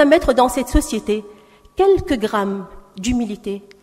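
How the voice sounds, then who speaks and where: A woman speaks with very wide swings in pitch as noticeable noise runs in the background. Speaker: panelist at round table. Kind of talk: panel speech.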